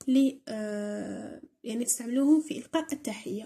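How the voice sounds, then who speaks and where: A woman with an Algerian accent speaks at a high pitch with lively intonation. Her tone is dark and mellow. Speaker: English teacher on a school tutorial channel. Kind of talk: tutorial.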